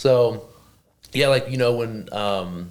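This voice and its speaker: A man with a strong Oklahoma accent and fairly even intonation. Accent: thick Oklahoma. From Oklahoma, small town. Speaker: professional wrestler. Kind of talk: casual interview chat. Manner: casual, filler-heavy.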